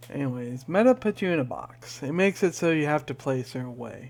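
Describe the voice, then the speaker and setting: The man's pitch is fairly high and varies in an ordinary way. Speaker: gaming youtuber. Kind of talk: casual rant. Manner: slow.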